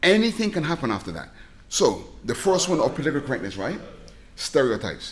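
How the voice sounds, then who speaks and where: A man's very fast, animated speech at a fairly high pitch, with vocal fry, very wide pitch swings and long, frequent pauses. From southern England (Reading), Barbadian family. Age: 60s. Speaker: comic book creator and stand-up comedian. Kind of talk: podcast interview.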